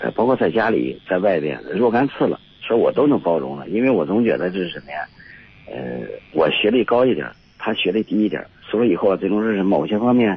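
Noticeable background noise sits behind a man speaking at a fairly quick pace in a fairly low pitch, with very wide pitch swings. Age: 50s. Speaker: retired factory worker, caller. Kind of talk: call-in advice conversation. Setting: phone call. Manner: halting, many fillers.

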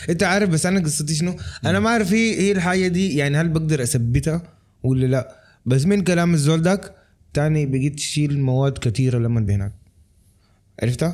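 A man talks at a fairly quick pace with lively intonation and very even loudness. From Sudanese, raised in Lebanon. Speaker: film director. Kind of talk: casual chat.

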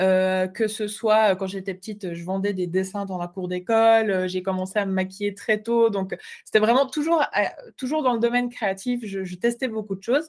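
A woman's medium-pitched voice with a slight Swiss French accent, ordinary pitch variation and a moderate pace, in a very clean recording with a silent background. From Switzerland. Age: 20s. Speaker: entrepreneur, graphic designer. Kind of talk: interview.

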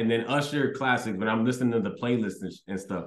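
There is audible room echo around the voice. A man talks at a medium pitch. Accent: American. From Houston, Texas. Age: 30s. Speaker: comedian. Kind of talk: casual interview chat. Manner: halting, many fillers and repeats.

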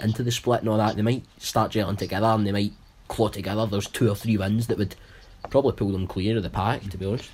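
In a North Lanarkshire accent, a man rattles along at a very fast pace, somewhat breathy and fairly low-pitched, his intonation flat and monotone. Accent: Scottish, North Lanarkshire. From North Lanarkshire, Scotland. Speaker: football panelist. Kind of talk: casual chat.

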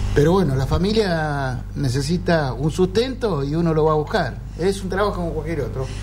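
Over music in the background and audible room echo, a man talks at a moderate pace with hardly any pauses. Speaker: fisherman. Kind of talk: interview.

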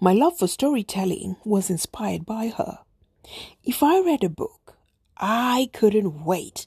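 With an East African accent, a woman speaks at a fairly slow pace and a fairly high pitch, somewhat breathy with a dark, mellow tone and very wide pitch swings, in a dry, close sound with no echo. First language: Swahili. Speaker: podcast host. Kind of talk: personal storytelling monologue.

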